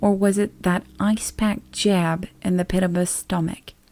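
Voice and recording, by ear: The voice reads aloud naturally. Its intonation is fairly even.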